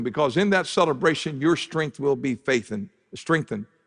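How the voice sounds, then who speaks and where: A plain, everyday voice with lively intonation. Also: man. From southern Ohio. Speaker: pastor. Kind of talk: sermon. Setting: church.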